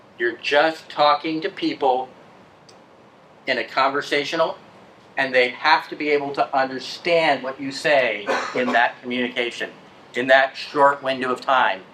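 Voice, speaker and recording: A fairly high-pitched man speaks at a moderate pace, with long, frequent pauses and noticeable background noise behind him. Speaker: IT field engineer, conference speaker. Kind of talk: conference talk.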